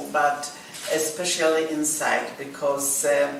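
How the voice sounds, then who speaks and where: A woman with a Polish accent speaks with fairly even intonation, with noticeable background noise and audible room echo. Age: 60s. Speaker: actress. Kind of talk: interview. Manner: halting.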